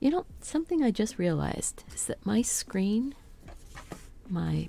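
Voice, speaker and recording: Soft-spoken and at a fairly slow pace, a woman talks with big swings in loudness. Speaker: crafter live-streaming embroidery floss winding. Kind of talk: casual live-stream talk to self. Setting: home studio live stream. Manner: quiet, unprojected.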